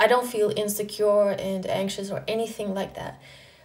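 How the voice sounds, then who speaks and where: Noticeable background noise and audible room echo surround a woman speaking at a moderate pace with a fairly high pitch. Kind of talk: personal vlog monologue. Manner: flat, little pitch variation; casual, filler-heavy.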